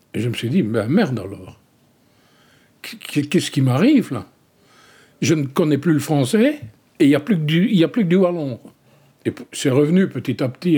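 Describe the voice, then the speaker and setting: Somewhat breathy delivery with a dark, mellow tone, very wide pitch swings, big swings in loudness and long, frequent pauses. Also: man, fairly high pitch for a man, moderate pace. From Wallonia, Belgium (rural village). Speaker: dialect poet. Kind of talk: interview.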